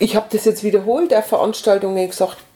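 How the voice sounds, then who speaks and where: A woman at a fairly quick pace and fairly high pitch, with noticeable background noise. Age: 60s. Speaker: retired volunteer organizer of a senior-help association. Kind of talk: casual interview.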